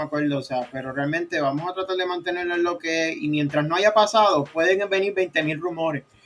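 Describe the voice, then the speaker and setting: Noticeable background noise sits behind this man's high-pitched voice. He talks at a fairly quick pace with ordinary pitch variation. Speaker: football podcast host. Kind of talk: casual chat.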